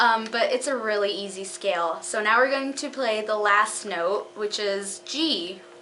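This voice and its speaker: With audible room echo and noticeable background noise behind her, a woman with a fairly high pitch and ordinary pitch variation talks at a fairly slow pace with hardly any pauses. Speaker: clarinet teacher on video channel. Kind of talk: tutorial. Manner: hesitant, with fillers.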